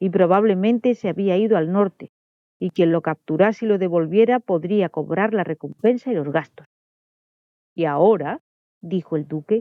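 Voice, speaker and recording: A woman talks at a moderate pace with a medium pitch and lively intonation. Hers is a plain, everyday voice. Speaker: audiobook narrator. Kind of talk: audiobook reading.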